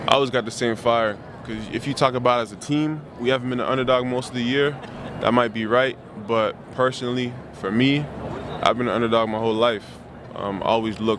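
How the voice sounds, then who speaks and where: Against noticeable background noise, a man talks at a fairly quick pace in a medium pitch with monotone, flat intonation. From Canada. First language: French. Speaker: college football player. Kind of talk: media day interview. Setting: media day press event.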